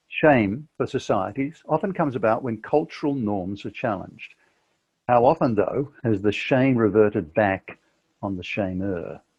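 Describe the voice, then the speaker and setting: In an Australian accent, a man talks at a medium pitch and moderate pace with lively intonation. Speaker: author and podcaster. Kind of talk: reading aloud from own book.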